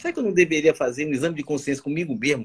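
This is a man talking. Nothing echoes, and the sound stays dry and close. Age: 60s. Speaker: surgeon and medical professor. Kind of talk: casual interview on a live stream. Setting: online live stream.

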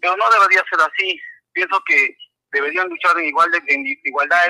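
A man talks at a moderate pace. The audio is dry and close, free of echo. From Peru, Arequipa. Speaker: caller, football fan. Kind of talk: call-in opinion.

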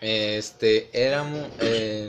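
A man speaks with a Mexican accent. Noticeable background noise can be heard. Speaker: student. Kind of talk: casual chat.

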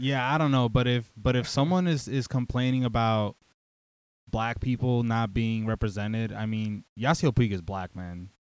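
With an American accent, a man speaks in a normal speaking voice at a medium pitch and moderate pace, on a very clean recording with a silent background. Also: ordinary pitch variation. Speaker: baseball podcast co-host. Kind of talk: casual chat.

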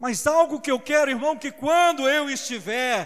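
Lively intonation from a man at a moderate pace, on a very clean recording with a silent background. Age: 50s. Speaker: preacher. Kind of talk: sermon.

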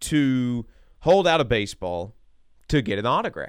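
A man with a relaxed, bright, sharp tone and very wide pitch swings on a very clean recording with a silent background. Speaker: radio host. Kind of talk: casual sports talk radio chat. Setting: radio studio. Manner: conversational, relaxed, filler words.

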